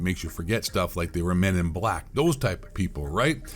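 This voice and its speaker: This man's tone is animated and his intonation lively. He talks at a fairly quick pace. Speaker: conspiracy commentator. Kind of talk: casual monologue rant. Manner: fast.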